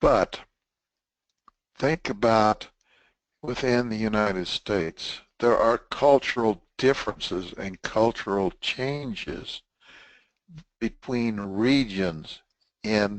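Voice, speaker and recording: Speaking in a Texan accent at a medium pitch, a man moves at a very slow pace with long, frequent pauses and ordinary pitch variation. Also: quiet background. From Texas. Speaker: webinar presenter, test management trainer. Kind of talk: webinar lecture. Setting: online webinar broadcast. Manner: casual, conversational.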